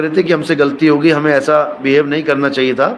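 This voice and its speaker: A man's fairly high voice at a fairly slow pace, with noticeable background noise. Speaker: spiritual preacher. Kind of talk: casual talk to viewers.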